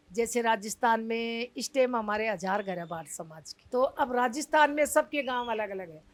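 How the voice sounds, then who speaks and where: A woman with an unremarkable speaking voice talks at a fairly high pitch with lively intonation, big swings in loudness and hardly any pauses. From Delhi, family from Rajasthan. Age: 60s. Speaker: community leader of puppeteer colony. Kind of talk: interview.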